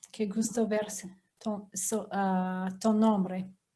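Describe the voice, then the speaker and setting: A woman speaks very slowly in a somewhat breathy voice with a non-native accent. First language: English (speaking Spanish). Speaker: professor. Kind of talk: lecture. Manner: halting.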